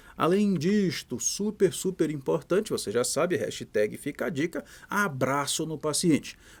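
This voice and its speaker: In a very clean recording with a silent background, a man with a Pará accent speaks at a fairly high pitch and a fairly slow pace, his tone animated, his intonation lively, and hardly any pauses between words. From Brazil, Pará. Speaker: physician lecturer. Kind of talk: lecture. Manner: casual, animated.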